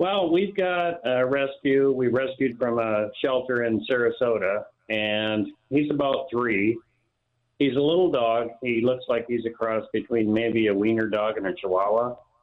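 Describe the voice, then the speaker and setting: A man's unremarkable speaking voice at medium pitch, with very even loudness, ordinary pitch variation and a fairly slow pace. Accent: American. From Florida. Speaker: caller. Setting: phone call.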